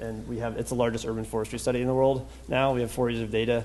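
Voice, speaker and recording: A man speaks at a very fast pace. The room echo is audible. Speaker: urban ecologist and professor. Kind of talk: lecture. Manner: halting.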